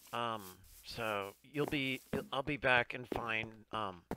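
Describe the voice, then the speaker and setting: Noticeable background noise behind a man's voice of medium pitch. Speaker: gaming streamer. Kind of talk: casual chat. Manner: quiet, strained.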